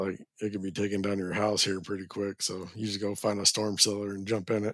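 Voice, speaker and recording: The speaker has an American accent. The intonation stays monotone and flat. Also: man, fairly low pitch for a man. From Texas Panhandle (Borger). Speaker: ski resort grooming manager. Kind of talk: casual chat. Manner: casual.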